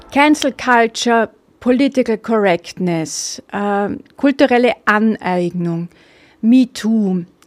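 Very clean recording with a silent background, a woman at a fairly high pitch speaking at a very slow pace, dry and close with no echo. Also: lively intonation. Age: 50s. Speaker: political podcaster. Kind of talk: opinion monologue. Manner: hesitant with filler sounds.

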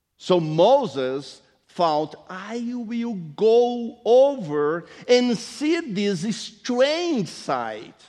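Very slowly and in a dark, mellow tone, a man speaks at a high pitch with very wide pitch swings, with audible room echo. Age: 60s. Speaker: pastor. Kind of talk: sermon. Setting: church.

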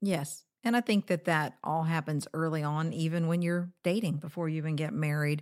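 Recorded very cleanly with a silent background, a woman with a very deep, low pitch and ordinary pitch variation talks at a moderate pace with hardly any pauses. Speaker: podcast host, married couple show. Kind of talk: casual conversational podcast chat. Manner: playful, teasing, animated.

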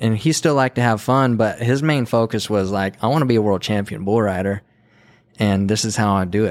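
A man with an American accent talks at a fairly quick pace in an ordinary speaking voice, pitched fairly low. His pitch varies an ordinary amount, his loudness stays very even, and the recording is very clean with a silent background. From New Mexico, US Southwest. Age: 30s. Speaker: videographer and former bull rider. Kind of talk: casual interview conversation. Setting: in person, motel room.

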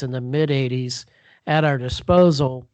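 At a fairly slow pace, a man talks with ordinary pitch variation in an ordinary speaking voice. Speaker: former counterterrorism agent and author. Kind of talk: interview.

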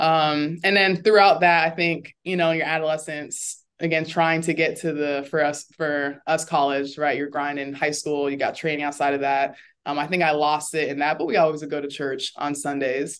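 A woman's very deep, low pitch in a flat monotone, at a moderate pace with hardly any pauses, against a quiet background. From Florida. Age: 30s. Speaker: former college basketball player and nonprofit founder. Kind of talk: interview. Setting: video call.

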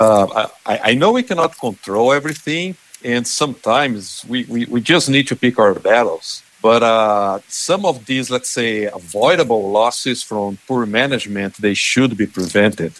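A man at medium pitch with a Portuguese accent, moderate pace, lively intonation and hardly any pauses. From Brazil. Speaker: animal nutrition specialist. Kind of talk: interview.

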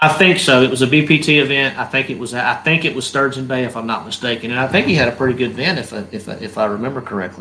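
With a Southern US accent, a man talks at a very fast pace with hardly any pauses, medium pitch and ordinary pitch variation, over noticeable background noise. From North Carolina. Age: 30s. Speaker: professional bass angler. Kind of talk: casual interview.

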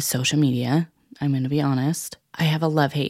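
In a very clean recording with a silent background, a woman speaks at a very deep, low pitch. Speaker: podcast host. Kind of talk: casual monologue. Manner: reflective, thinking aloud.

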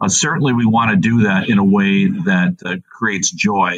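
With lively intonation and fairly low pitch, a man speaks in an unremarkable speaking voice. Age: 60s. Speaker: Lutheran school executive director. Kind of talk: interview.

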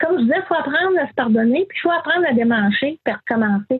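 This woman's high voice moves through very wide pitch swings. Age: 60s. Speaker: quilter and retired nurse. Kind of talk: interview.

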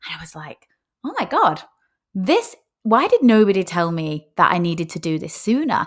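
The speaker has a Lancashire accent. The pace is moderate. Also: woman, very clean recording, silent background. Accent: northern English (Lancashire). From northern England, Rochdale. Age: 40s. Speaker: personal trainer and nutritionist. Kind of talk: casual monologue podcast. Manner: hesitant, with fillers.

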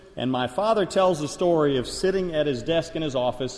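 A man with a fairly high pitch speaks at a moderate pace with ordinary pitch variation, and audible room echo surrounds his voice. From Liberia. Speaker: missionary preacher. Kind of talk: sermon. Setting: church.

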